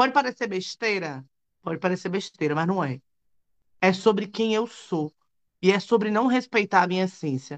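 A woman's medium-pitched voice with lively intonation, a moderate pace and long, frequent pauses. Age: 30s. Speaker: lawyer and activist. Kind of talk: live panel discussion.

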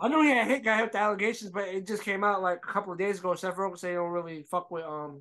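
A man's high, raised, projected voice, bright and sharp in tone, at a very fast pace with ordinary pitch variation. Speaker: podcast co-host. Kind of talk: casual banter, sports talk.

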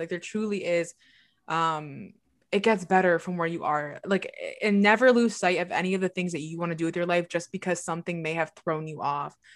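An ordinary speaking voice with ordinary pitch variation in a very clean recording with a silent background. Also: woman. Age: 20s. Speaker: podcast co-host. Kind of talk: casual chat. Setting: livestream recording.

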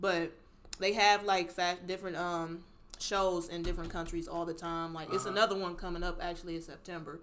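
In an American accent, a woman speaks at a fairly quick pace in a fairly low pitch, her intonation monotone and flat. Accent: slight Southern-tinged Midwestern US. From Cleveland, Ohio. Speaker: fashion designer. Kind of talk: casual interview chat.

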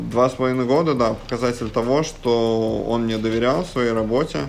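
A man talks fairly quickly with fairly even intonation, while noticeable background noise plays underneath. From Russia, Samara region (Syzran). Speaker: basketball and fitness coach. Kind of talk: interview.

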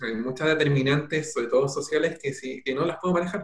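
A man's fairly high voice at a very fast pace, with fairly even intonation. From Chile, Peumo area (rural O'Higgins). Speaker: doctor in family medicine training. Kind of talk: interview on live stream.

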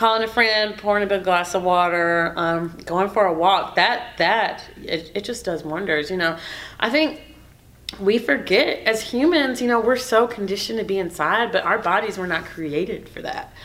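Heard with audible room echo, a woman with an American accent speaks at a moderate pace and medium pitch with lively intonation. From Houston, Texas. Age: 20s. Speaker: TV news personality. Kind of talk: casual interview.

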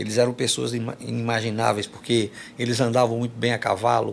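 Vocal fry in a man's medium-pitched speech, delivered at a moderate pace. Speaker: forró singer. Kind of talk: casual interview chat.

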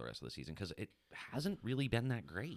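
Very fast speech with very wide pitch swings and vocal fry. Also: man. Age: 30s. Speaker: fantasy football podcast host. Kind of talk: casual chat.

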